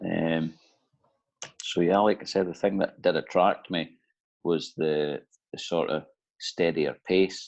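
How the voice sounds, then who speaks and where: A man with an Aberdeen accent speaks at a very slow pace with a very deep, low pitch. His speech has long, frequent pauses. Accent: Scottish (Aberdeen). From Aberdeen, Scotland. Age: 30s. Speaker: offshore electrician. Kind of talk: interview answer.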